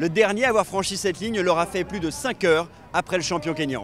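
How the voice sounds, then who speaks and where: A man talks at a fairly quick pace. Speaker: news reporter. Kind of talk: TV news reporter voice-over and stand-up.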